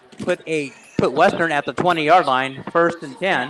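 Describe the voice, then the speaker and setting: There is crowd noise in the background. A man speaks at a moderate pace with ordinary pitch variation. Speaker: play-by-play commentator. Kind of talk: live sports commentary.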